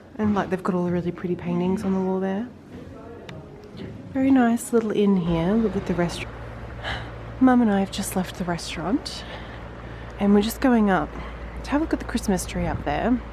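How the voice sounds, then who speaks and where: Pausing long and often, a woman at medium pitch speaks with ordinary pitch variation amid noticeable background noise. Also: fairly quick pace. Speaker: travel vlogger. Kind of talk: travel vlog narration. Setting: outdoors.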